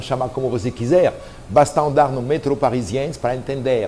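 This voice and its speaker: Fairly even intonation runs through this speech in a French accent. Noticeable background noise is present. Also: man. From France, Normandy. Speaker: pastry chef. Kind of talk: personal story to camera. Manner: casual, conversational.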